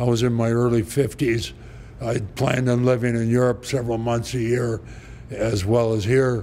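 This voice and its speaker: Through noticeable background noise, a man speaks at a medium pitch and moderate pace, his intonation monotone and flat and his loudness very even. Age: 70s. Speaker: winery owner. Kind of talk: interview. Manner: halting.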